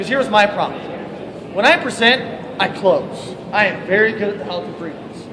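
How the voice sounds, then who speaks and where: A man's high, animated voice at a fairly quick pace with ordinary pitch variation, amid audible room echo and noticeable background noise. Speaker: network marketing distributor. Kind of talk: motivational talk. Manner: loud.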